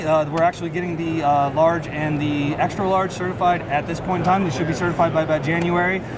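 Loud background noise accompanies a man talking at a very fast pace. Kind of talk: interview answer. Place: hall. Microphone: camera far.

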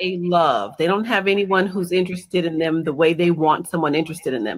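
The speaker is a woman with a fairly low voice. The background is quiet. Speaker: guest. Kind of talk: interview answer. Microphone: video call.

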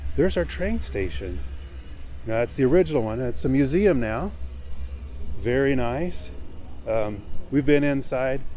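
Speaking at a moderate pace with long, frequent pauses, a man is heard in a dry sound with no echo while faint music plays in the background. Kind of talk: casual vlog chat. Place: street. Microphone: phone near.

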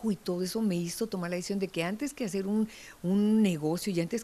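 A woman with a dark, mellow tone talks at a fairly quick pace with ordinary pitch variation. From Mexico City. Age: 60s. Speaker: psychologist and long-distance cyclist; interviewee. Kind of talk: interview testimony. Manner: hesitant repetitions. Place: studio. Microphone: handheld.

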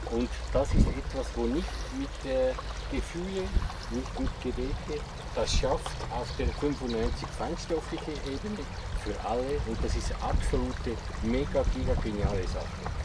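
The pace is fairly slow. Loud background noise is present. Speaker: workshop participant. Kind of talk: casual group discussion. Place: garden.

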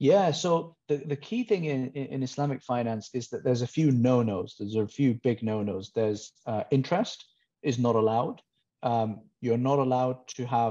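Against a quiet background, a man speaks with a dark, mellow tone. His pace is moderate and his pitch varies in an ordinary way. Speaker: guest. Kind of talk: interview answer. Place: home room. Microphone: earbuds.

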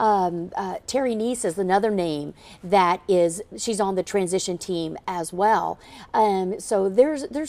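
In an American accent, a woman speaks at a moderate pace with ordinary pitch variation. Her tone is dark and mellow. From Florida (Orlando); Florida. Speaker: state party chair. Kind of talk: TV news interview. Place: studio. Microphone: lapel.

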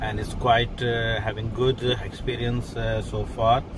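In a dry sound with no echo but noticeable background noise, a man speaks at a fairly slow pace. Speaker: food vlogger. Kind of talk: casual vlog chat. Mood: relaxed, content. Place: car. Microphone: phone near.

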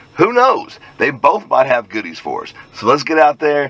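A man talks at a fairly quick pace in a dry recording with no echo. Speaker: hobby metal detecting vlogger. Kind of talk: casual vlog chat. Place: car. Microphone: phone near.

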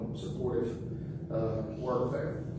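A man's voice with audible room echo amid loud background noise. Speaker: pastor giving announcements. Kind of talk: church announcements. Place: church.

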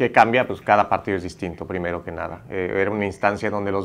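Using an ordinary speaking voice, a man with a fairly low pitch moves at a fairly quick pace with fairly even intonation. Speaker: national team head coach. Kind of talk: press conference answer. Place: hall. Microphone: podium.

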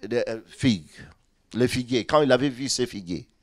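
The voice carries vocal fry. The background is quiet. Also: man. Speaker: pastor. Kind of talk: sermon. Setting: church. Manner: repeats syllables when speaking. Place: church. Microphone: handheld.

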